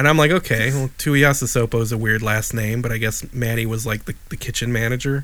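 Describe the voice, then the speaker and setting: A man with a Chicago accent talks at a very fast pace in a medium pitch, with hardly any pauses. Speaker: podcast co-host. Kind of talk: casual chat. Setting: video call. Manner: animated.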